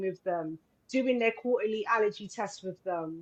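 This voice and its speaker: A woman with a London accent talks at a moderate pace. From London (Islington), England. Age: 40s. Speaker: film director and wellness entrepreneur. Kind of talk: live radio interview. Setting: live radio show.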